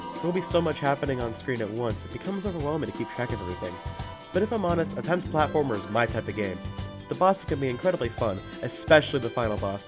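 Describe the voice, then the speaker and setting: A man speaks with music playing in the background. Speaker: game reviewer. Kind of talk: video game review narration.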